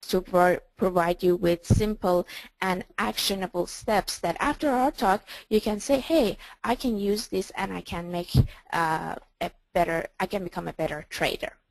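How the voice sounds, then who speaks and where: A woman with a non-native accent speaks at a moderate pace and medium pitch, with ordinary pitch variation. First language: not English. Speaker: trading coach. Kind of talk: webinar presentation. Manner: hesitant, with fillers.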